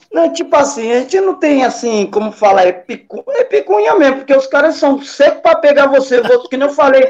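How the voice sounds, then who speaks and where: An extremely high-pitched male voice with lively intonation and a fairly quick pace. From Brazil, Baixada Santista (São Vicente/Santos). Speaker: hip hop pioneer, breakdancer. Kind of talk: casual interview chat. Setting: live stream.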